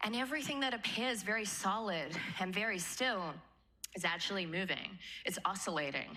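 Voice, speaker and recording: Lively intonation marks a woman's moderately paced speech, with audible room echo around her. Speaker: manifestation teacher. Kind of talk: seminar talk to live audience. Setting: stage with audience. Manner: animated.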